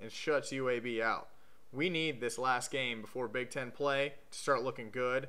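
A man speaks with a bright, sharp tone. His pace is moderate. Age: 20s. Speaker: sports video blogger, Ohio State fan. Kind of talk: scripted commentary monologue. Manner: sarcastic, joking. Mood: joking, sarcastic. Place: home room. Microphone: webcam.

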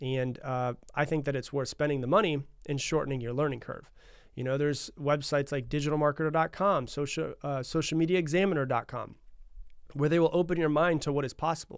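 A man's fairly high, fairly quick voice with fairly even intonation, against a quiet background. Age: 30s. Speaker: podcast host. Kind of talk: solo motivational podcast monologue. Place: studio. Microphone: studio mic.

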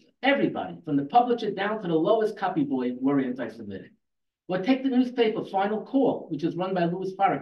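A man's high voice with very wide pitch swings, at a very fast pace, with audible room echo. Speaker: debater, retired newspaper employee. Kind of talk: formal debate. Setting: stage with audience. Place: hall.

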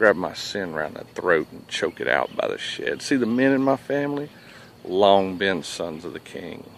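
A man speaks at a moderate pace with lively intonation. The sound is dry with no echo, over light background noise. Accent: Southern US. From Southern US. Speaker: military veteran. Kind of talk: spoken word poetry performance. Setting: coffee shop. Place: waterside. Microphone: phone near.

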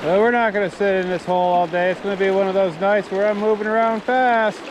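Speech at a moderate pace comes through with noticeable background noise and a dry sound with no echo. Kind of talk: casual vlog commentary. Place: waterside. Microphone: phone near.

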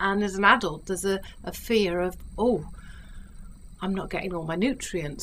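At a moderate pace, a woman speaks in a confident tone at medium pitch with ordinary pitch variation. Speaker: hypnotherapist selling self-help recordings. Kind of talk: direct-to-camera sales pitch for a hypnosis CD, describing rather than performing trance. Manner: warm, reassuring, coaxing tone addressing the listener as you; chatty, persuasive, confident with occasional filler hesitations.

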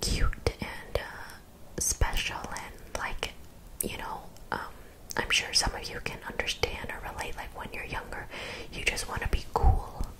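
Loud background noise behind a woman's fairly slow pace. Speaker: vlogger. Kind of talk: casual vlog chat about therapy. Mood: reflective, candid. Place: home room. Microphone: studio mic.

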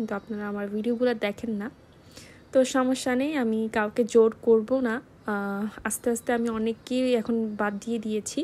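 Her tone dark and mellow, a woman speaks at a fairly high pitch with fairly even intonation. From Bangladesh. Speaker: cooking vlogger. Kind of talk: vlog voice-over. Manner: halting. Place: kitchen.

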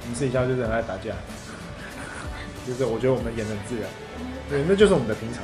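Clear music plays behind a man who speaks at a very fast pace with lively intonation. He leaves long, frequent pauses. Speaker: singer and actor. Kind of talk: interview answer. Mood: relaxed, lightly amused. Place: home room.

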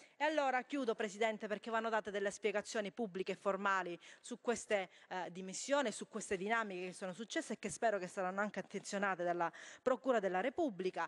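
Ordinary pitch variation marks a woman talking at a very fast pace. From Calabria, Tropea; Calabria. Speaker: member of parliament. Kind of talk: parliamentary speech. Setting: parliament chamber. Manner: halting, many fillers. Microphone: podium.

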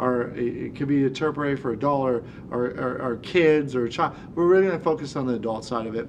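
A man talks at a fairly quick pace with ordinary pitch variation. There is light background noise. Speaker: respiratory therapy instructor. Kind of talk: lecture. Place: studio.

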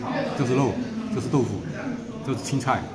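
A man's voice under loud background noise. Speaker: food vlogger. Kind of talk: casual vlog chat. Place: cafe. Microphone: phone near.

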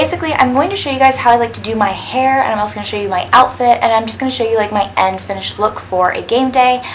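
Against light background noise, a woman with a fairly high pitch and ordinary pitch variation speaks very fast with hardly any pauses. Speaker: lifestyle vlogger. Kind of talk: get-ready-with-me vlog. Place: home room. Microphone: phone near.

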